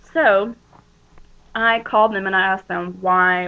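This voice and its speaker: Fairly even intonation marks this woman's medium-pitched voice. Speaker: weight loss surgery patient vlogger. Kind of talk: casual informational vlog. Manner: fast; hesitant, many fillers.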